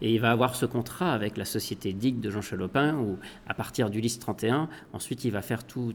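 A man at a fairly low pitch and moderate pace, with ordinary pitch variation. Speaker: author and radio host. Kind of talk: interview. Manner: halting.

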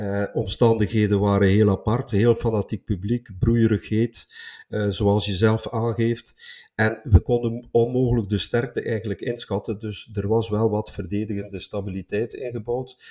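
At a moderate pace, a dark, mellow tone holds a monotone, flat intonation on a very clean recording with a silent background. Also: man, medium pitch for a man. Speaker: football podcast co-host, travelling supporter. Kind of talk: casual chat.

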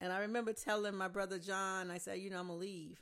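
Here is a woman with a plain, everyday voice. Her pitch is medium and her pace fairly quick. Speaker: host's mother, real estate agent. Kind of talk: casual interview conversation.

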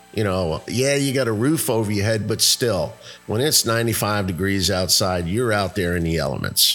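Lively intonation carries this voice along at a moderate pace, with noticeable background noise behind it. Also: man. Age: 60s. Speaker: podcast host, automotive service manager. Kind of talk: personal monologue.

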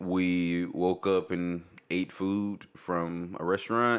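Over a silent background in a very clean recording, a man speaks slowly at a low pitch with little pitch movement.

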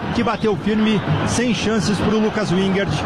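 A man with a high-pitched voice talks over noticeable background noise. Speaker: radio sports reporter. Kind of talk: live sports commentary, goal reaction. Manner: animated, emphatic, energetic.

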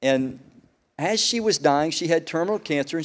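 At a fairly quick pace, a man speaks in an ordinary speaking voice, fairly high in pitch for a man, with lively intonation. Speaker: pastor. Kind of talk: sermon. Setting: church service with congregation. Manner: conversational, jokes with audience. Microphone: new mic making whistling noises.

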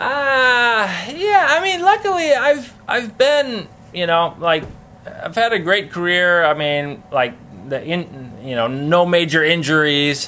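A man's high pitch with very wide swings, delivered at a very slow pace. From Minnesota, US Midwest. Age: 40s. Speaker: professional BMX flatland rider. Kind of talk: casual interview.

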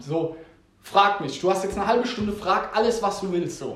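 A high-pitched male voice with ordinary pitch variation, audible room echo and noticeable background noise. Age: 20s. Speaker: podcast host. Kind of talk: casual chat.

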